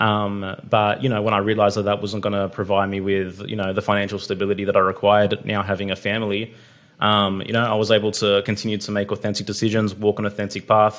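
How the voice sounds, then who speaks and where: With an Australian accent, a man talks very fast in a fairly low, monotone, flat voice with hardly any pauses. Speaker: podcast host. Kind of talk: casual chat.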